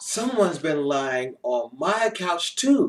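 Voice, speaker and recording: A man's put-on character voice, high-pitched and fairly slow. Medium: read story.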